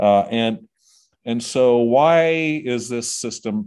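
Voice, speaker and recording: A man with a Midwestern American accent. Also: quiet background. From southwest Ohio. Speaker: music industry executive. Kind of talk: interview. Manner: halting, many fillers and repeated words.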